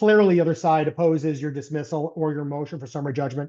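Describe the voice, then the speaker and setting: A man with a dark, mellow tone and fairly high pitch talks at a fairly quick pace. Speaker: lawyer presenting a legal education webinar. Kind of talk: lecture. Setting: webinar. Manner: fast.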